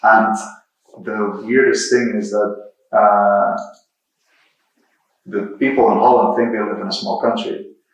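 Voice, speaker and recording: A man speaks at a fairly slow pace, leaving long, frequent pauses. Audible room echo surrounds his voice. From Netherlands, Rotterdam. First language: Dutch. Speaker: software engineer and creative technologist, guest lecturer. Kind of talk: lecture.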